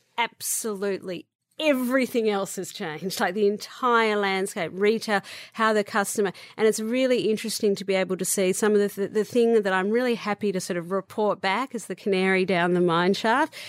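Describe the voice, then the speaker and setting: A woman with an Australian accent talks at a fairly quick pace, her medium pitch showing ordinary pitch variation. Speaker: beauty entrepreneur. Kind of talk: interview.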